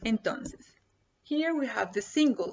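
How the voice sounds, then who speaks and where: A woman with a Spanish accent talks at a very slow pace. Her intonation is lively. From Colombia. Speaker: Spanish teacher. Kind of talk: tutorial. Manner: slow and repetitive, code-switching.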